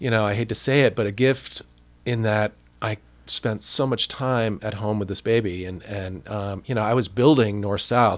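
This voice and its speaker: In an American accent, a man speaks at a moderate pace with a fairly low pitch and fairly even intonation on a very clean recording with a silent background. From New Jersey. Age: 50s. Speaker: TV producer. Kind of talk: casual interview chat. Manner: halting, many fillers and restarts.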